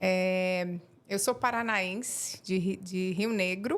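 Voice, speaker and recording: With a strong Florianópolis accent, a woman speaks at a very slow pace. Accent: strong local Florianópolis. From Florianópolis, Santa Catarina, Brazil. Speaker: acupuncture therapist. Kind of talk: podcast interview. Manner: hesitant, many fillers.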